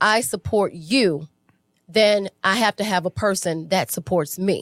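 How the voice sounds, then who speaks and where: Recorded with a dry, close sound and no echo, a woman talks with lively intonation. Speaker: relationship podcast co-host. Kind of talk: live podcast conversation. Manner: loud and rambunctious, outspoken.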